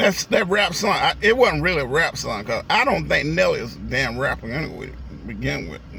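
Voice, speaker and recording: Over noticeable background noise, a man talks at a fairly quick pace with hardly any pauses and big swings in loudness. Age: 60s. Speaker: vlogger. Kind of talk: casual vlog monologue. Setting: in a car. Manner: rambling, profane casual speech.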